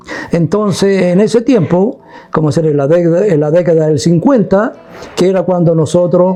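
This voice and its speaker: Against noticeable background noise, a man with a high pitch speaks at a moderate pace, with ordinary pitch variation and very even loudness. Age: 70s. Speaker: elderly local witness. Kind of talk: interview testimony. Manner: halting, with fillers.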